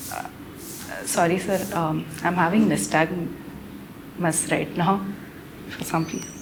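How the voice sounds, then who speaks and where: A woman with a fairly low pitch and ordinary pitch variation speaks at a very slow pace with long, frequent pauses. Noticeable background noise and audible room echo fill the recording. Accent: Marathi. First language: Marathi. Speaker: civil services candidate. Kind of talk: mock job interview. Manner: formal; halting.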